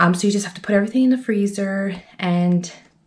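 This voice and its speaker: Speaking in an unremarkable speaking voice, a woman holds a medium pitch with ordinary pitch variation. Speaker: stay-at-home mom vlogger. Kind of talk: casual vlog talk to camera. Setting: at home. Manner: chatty.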